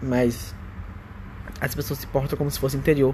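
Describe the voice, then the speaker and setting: A man's medium-pitched voice moves at a fairly quick pace against noticeable background noise. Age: 20s. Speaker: vlogger. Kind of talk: personal monologue. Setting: at home. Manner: casual.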